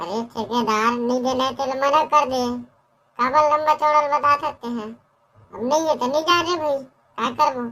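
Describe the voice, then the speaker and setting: A woman uses a cartoonish character voice pitched high. She talks at a moderate pace. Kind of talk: comic rural cartoon dialogue. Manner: grumbling, argumentative, talkative.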